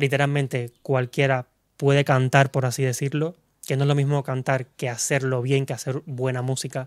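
Flat, monotone speech from a man at medium pitch, dry and close with no echo, on a very clean recording with a silent background. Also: moderate pace. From Cuba. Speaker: singer. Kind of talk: casual interview chat.

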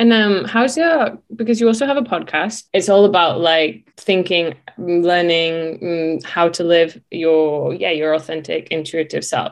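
Speaking in an ordinary speaking voice, a woman keeps a fairly low pitch at a fairly slow pace. She leaves hardly any pauses. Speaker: podcast host. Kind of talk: casual interview chat.

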